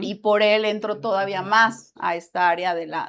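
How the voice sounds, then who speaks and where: Her voice sits fairly high for a woman. The recording is very clean, with a silent background. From Mexico, Michoacán. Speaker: graphic designer, branding. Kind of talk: podcast interview.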